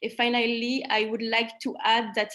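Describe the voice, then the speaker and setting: A woman's fairly high-pitched voice moves along at a moderate pace. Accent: French. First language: French. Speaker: trainee presenter at medical conference. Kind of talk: conference presentation with Q&A. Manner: halting.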